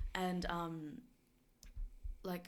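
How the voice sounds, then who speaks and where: A woman's fairly low voice with a New Zealand accent. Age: 20s. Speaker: university residential advisor. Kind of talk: casual chat. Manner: laughs often.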